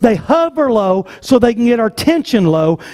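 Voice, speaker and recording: In an American accent, a man speaks with a dry, close sound that has no echo. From US South. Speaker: pastor. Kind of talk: sermon. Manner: animated.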